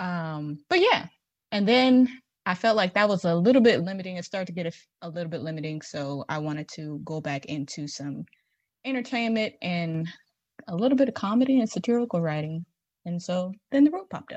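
With a quiet background, a woman speaks in a somewhat breathy, medium-pitched voice at a fairly quick pace with lively intonation. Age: 20s. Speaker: entertainment writer. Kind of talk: casual debate. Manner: animated.

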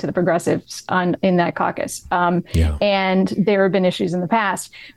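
A woman is speaking. Her pace is moderate. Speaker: legal analyst. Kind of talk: casual chat. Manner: halting.

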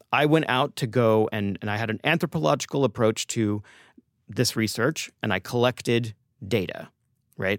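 In a very clean recording with a silent background and a dry, close sound with no echo, a normal speaking voice with an American accent moves at a moderate pace with ordinary pitch variation. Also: man. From Texas (Austin). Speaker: chef and cookbook author. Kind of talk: interview conversation. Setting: studio.

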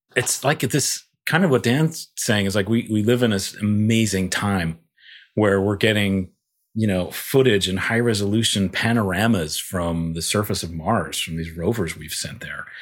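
In a very clean recording with a silent background, a man with a fairly low pitch and an ordinary speaking voice talks at a moderate pace. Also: ordinary pitch variation. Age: 40s. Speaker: visual effects supervisor. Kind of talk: casual chat.

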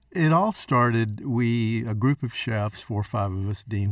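A plain, everyday voice from a man with an American accent, fairly low in pitch with fairly even intonation, in a very clean recording with a silent background. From Texas. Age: 60s. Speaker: chef. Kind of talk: casual chat.

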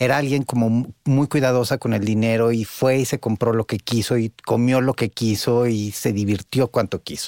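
A man's ordinary speaking voice at medium pitch and moderate pace, fairly even intonation, hardly any pauses, dry, close sound with no echo and a very clean recording with a silent background. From Italy. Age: 40s. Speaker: podcast co-host and psychologist. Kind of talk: casual chat.

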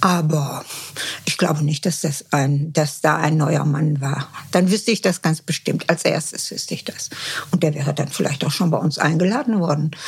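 Ordinary pitch variation and a moderate pace come through over noticeable background noise. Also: woman, very deep, low pitch for a woman. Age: 70s. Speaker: mother of a reality TV contestant. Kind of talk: interview. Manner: halting.

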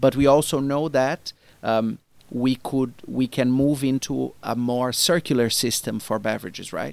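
In a Portuguese accent, the speaker goes at a moderate pace with fairly even intonation on a very clean recording with a silent background. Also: man, medium pitch for a man. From Brazil. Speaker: marketing executive. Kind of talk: interview. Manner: halting.

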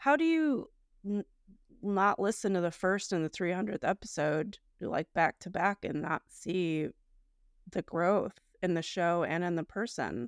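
Heard on a very clean recording with a silent background and a dry, close sound with no echo, a woman speaks in an ordinary speaking voice at medium pitch, fairly slowly, with ordinary pitch variation. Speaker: podcast co-host. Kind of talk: casual chat reviewing listener comments. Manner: casual, conversational.

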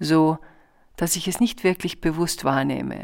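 A woman with a very deep, low pitch and vocal fry speaks very slowly with lively intonation, recorded very cleanly against a silent background. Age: 60s. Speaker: podcast host and author. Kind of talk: casual reflective monologue; reading aloud from own book.

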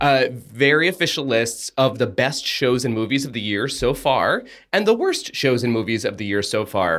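A man with an unremarkable speaking voice talks with lively intonation and hardly any pauses. The recording is very clean, with a silent background. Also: medium pitch for a man, moderate pace. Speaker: podcast co-host. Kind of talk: casual chat and TV review. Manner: playful, jokey.

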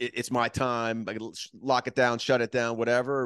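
In an ordinary speaking voice with an American accent, a man talks at a fairly quick pace, the sound dry and close with no echo over a quiet background. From Miami, Florida. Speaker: podcast host. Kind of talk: casual chat.

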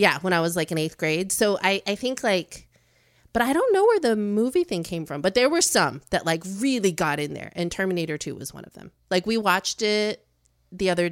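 On a very clean recording with a silent background, a woman with an American accent and an unremarkable speaking voice talks at a fairly quick pace at medium pitch, with lively intonation and big swings in loudness. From Chicago suburbs, US Midwest. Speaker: creative studio co-founder. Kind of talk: casual chat.

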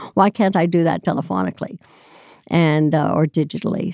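In an American accent, a woman speaks at a fairly quick pace with ordinary pitch variation and vocal fry. Her tone is dark and mellow, and the sound is dry and close with no echo. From Hong Kong and France. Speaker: healthcare consulting executive. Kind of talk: interview.

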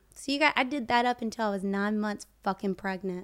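A woman speaks in a Southern US accent at a fairly high pitch with ordinary pitch variation. The recording is very clean, with a silent background. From US South, rural Florida (Plant City). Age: 20s. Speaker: social media personality. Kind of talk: casual chat.

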